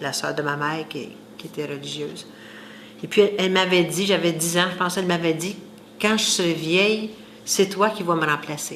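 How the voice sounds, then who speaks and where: Amid noticeable background noise and audible room echo, a woman speaks at a moderate pace with fairly even intonation, big swings in loudness and long, frequent pauses. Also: fairly low pitch for a woman. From Quebec, Saint-Hyacinthe area (rural). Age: 60s. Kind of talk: interview testimony.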